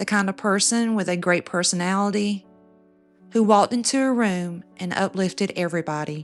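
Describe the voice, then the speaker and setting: A soft-spoken woman with a medium pitch talks in a fairly even intonation while music plays in the background. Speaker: true crime narrator. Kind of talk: true crime storytelling narration. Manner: soft-spoken, intimate.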